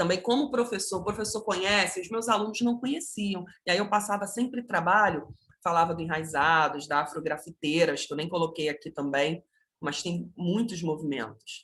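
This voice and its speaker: With a normal speaking voice, a woman of medium pitch talks at a moderate pace with lively intonation. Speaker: art educator, online course instructor. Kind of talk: online lecture.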